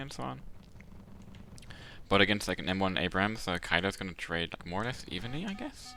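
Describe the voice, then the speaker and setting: This man's tone is bright and sharp, with vocal fry. His pitch swings very widely. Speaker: game commentator. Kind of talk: live commentary. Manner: mumbling.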